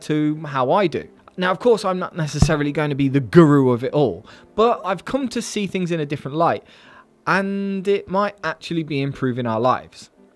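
Faint music plays in the background as a man with a high-pitched voice talks at a moderate pace. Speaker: finance youtuber. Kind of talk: casual vlog chat. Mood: playful, joking. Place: home room. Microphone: studio mic.

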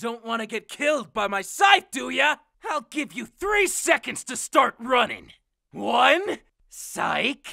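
A put-on character voice shouts at a fairly high pitch. The pace is fairly slow. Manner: playful, menacing.

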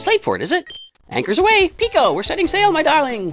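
Over faint background music, a man rattles along at a very fast pace in a put-on character voice. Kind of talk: gameplay commentary, reading dialogue aloud. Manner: jolly, seafaring.

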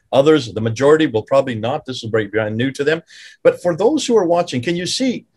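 Over a quiet background, a man with a fairly high, somewhat breathy voice talks at a very fast pace with lively intonation. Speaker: podcast host. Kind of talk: interview discussion. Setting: video call. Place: home room. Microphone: video call.

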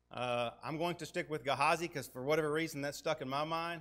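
A man with a Tennessee accent talks at a very fast pace with fairly high pitch and a bright, sharp tone. The background is quiet. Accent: US Southern (Tennessee). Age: 40s. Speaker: guest preacher. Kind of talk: sermon. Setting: church with congregation. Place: church.

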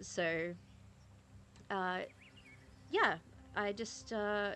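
Over light background noise, a woman talks in a medium pitch with fairly even intonation and a bright, sharp tone. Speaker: gaming streamer. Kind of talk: casual talk to camera. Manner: hesitant, with stutters and filler words. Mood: calm, serious topic. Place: home room. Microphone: studio mic.

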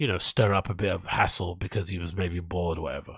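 A man's voice comes through dry, with no echo, against a quiet background. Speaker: livestream host. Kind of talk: commentary. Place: home room. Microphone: studio mic.

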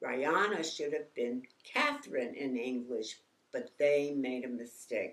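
A woman's very deep, low voice in an American accent, at a very slow pace. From New York. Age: 80s+. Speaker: artist and author. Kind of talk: memoir reading. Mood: warm, calm, reminiscent. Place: home room. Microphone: lapel.

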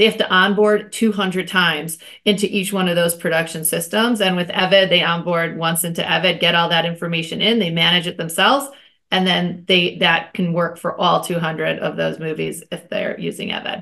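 The tone is bright and sharp, the pace moderate and the intonation fairly even, all over a quiet background. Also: woman, fairly low pitch for a woman. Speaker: guest. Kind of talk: interview answer. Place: home room. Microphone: video call.

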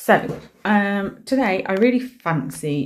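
Her intonation lively, a woman is talking. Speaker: nail art creator. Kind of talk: casual vlog chat. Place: home room.

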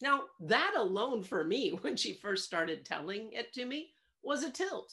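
A woman's pitch swings very widely. The background is quiet. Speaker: coach sharing a reflection. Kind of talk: reflective monologue. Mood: warm, reflective, occasional laughs. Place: home room. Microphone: webcam.

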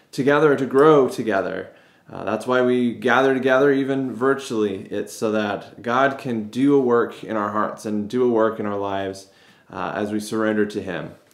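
A man talks at a moderate pace with ordinary pitch variation. The room echo is audible, though the background is quiet. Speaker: pastor. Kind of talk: service welcome and prayer. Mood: warm, upbeat greeting. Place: office. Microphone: phone near.

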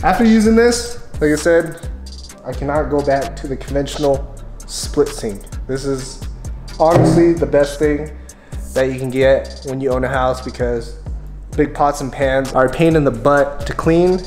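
Faint music plays in the background and the room echo is audible as a man talks at a moderate pace. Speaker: homeowner vlogger. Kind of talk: casual vlog chat. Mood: relaxed, enthusiastic. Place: home room. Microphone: phone near.

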